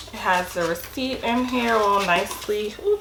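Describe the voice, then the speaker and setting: Amid noticeable background noise and audible room echo, a woman of medium pitch speaks at a fairly slow pace with ordinary pitch variation. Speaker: sneaker unboxing vlogger. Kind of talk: casual unboxing vlog. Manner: casual, chatty.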